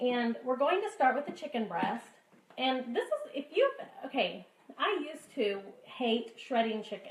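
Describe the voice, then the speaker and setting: A woman with an American accent speaks at a high pitch with very wide pitch swings. Her pace is fairly slow, and there is noticeable background noise. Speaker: cooking vlogger. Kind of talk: tutorial. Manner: animated.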